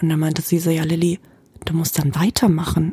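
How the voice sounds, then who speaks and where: This woman's voice sits fairly low in pitch. The sound is dry and close with no echo, and background noise is noticeable. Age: 20s. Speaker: costume designer. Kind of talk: casual chat. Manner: animated.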